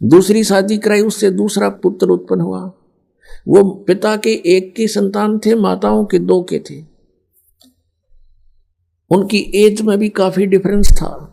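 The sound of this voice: Slowly, a man speaks in a high pitch with vocal fry and a dark, mellow tone. His intonation stays fairly even.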